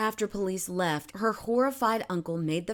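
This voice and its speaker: Her voice is an unremarkable speaking voice: a woman at medium pitch, moderate pace and lively intonation. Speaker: TV news reporter. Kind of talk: TV news report narration.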